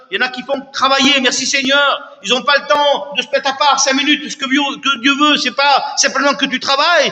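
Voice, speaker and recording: With noticeable background noise behind him, a man with an extremely high pitch speaks in a raised, projected voice at a moderate pace, with fairly even intonation and hardly any pauses. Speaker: visiting preacher. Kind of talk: sermon. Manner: loud.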